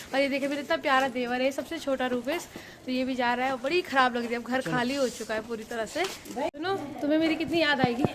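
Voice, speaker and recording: A high-pitched woman at a moderate pace with ordinary pitch variation, over noticeable background noise. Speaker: family vlogger. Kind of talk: casual vlog narration.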